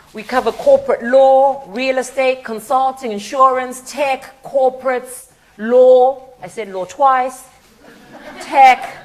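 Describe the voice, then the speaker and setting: A woman with a high pitch speaks at a very slow pace, her loudness swinging widely, over noticeable background noise. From Zimbabwe. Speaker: charity partnerships head, guest speaker. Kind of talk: conference talk. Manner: conversational, with fillers.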